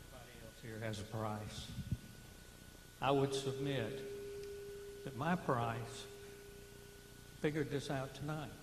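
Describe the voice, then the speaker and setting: A man speaks at a medium pitch and a fairly slow pace, with long, frequent pauses. His loudness swings widely, and the room echo is audible. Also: fairly even intonation. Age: 60s. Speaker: retiree, public meeting speaker. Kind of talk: public comment. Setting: public meeting with microphone.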